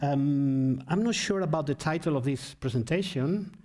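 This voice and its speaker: A man's fairly high, dark and mellow voice, at a fairly slow pace with ordinary pitch variation, in audible room echo. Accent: Spanish. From Spain. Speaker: philosopher, keynote speaker. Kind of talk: lecture. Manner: halting, with many fillers.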